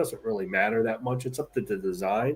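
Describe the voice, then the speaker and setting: Very wide pitch swings run through a man's somewhat breathy speech. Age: 60s. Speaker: comic artist. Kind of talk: casual chat.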